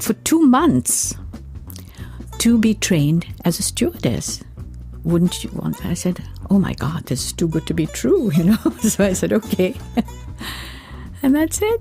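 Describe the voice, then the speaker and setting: With music playing behind her, a woman speaks at a fairly slow pace, leaving long, frequent pauses. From Mumbai, India. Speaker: singer. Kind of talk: interview answer. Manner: chatty, storytelling.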